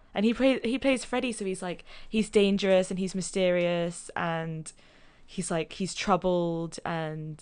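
With a London accent, a woman talks at a fairly slow pace in a fairly low pitch, using ordinary pitch variation. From London, England. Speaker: podcast guest. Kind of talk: casual chat.

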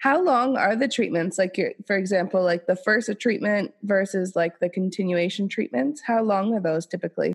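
A woman with a normal speaking voice at a medium pitch, a moderate pace with hardly any pauses, ordinary pitch variation, very even loudness, and a dry, close sound with no echo. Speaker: podcast host. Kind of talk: casual podcast interview. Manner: upbeat.

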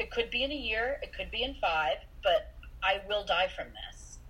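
Noticeable background noise sits behind a woman speaking. She has an American accent and a moderate pace. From US Midwest, Iowa. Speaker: mental health professional. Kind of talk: casual interview. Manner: halting, repeats words.

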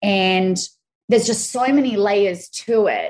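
At a moderate pace, a woman with an Australian accent talks at a medium pitch. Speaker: crypto educator. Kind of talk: casual interview chat.

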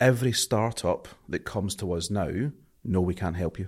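Speaking with a strong Scottish accent, a man has a very deep, low pitch and ordinary pitch variation. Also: very clean recording, silent background. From Scotland. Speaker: marketing agency owner. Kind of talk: interview conversation.

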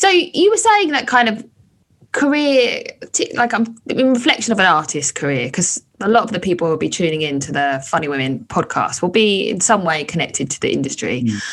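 A woman talks at a fairly quick pace with vocal fry and very wide pitch swings. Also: medium pitch for a woman. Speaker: burlesque performer and comedian, podcast host. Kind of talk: casual interview. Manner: animated, theatrical.

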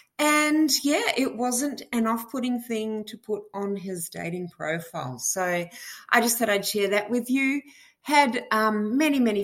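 A woman's fairly high, lively voice in an Australian accent at a fairly slow pace. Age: 50s. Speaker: listener caller. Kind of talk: voice message.

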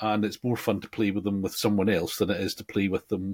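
A man with an English accent speaks fairly quickly in a fairly low pitch. The sound is dry and close, with no echo. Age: 60s. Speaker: podcast co-host, slot car hobbyist. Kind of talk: casual chat.

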